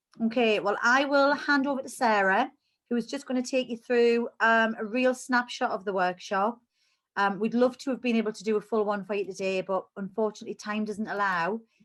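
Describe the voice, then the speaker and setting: Against a quiet background, a woman with a Geordie accent speaks in a fairly high pitch with fairly even intonation. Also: moderate pace. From northern England, Newcastle. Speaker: cancer support charity worker. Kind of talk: online presentation.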